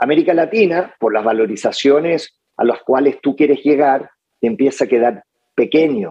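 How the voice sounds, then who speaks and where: At a moderate pace, a man talks with lively intonation and very even loudness. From Chile. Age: 50s. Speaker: lawyer and entrepreneur. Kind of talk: interview conversation. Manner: halting, many fillers.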